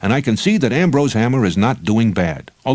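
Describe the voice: Plain reading aloud is delivered with lively intonation.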